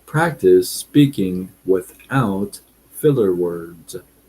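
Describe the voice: Speaking at a very slow pace, a man has a low, dark, mellow voice with a slightly husky edge and ordinary pitch variation.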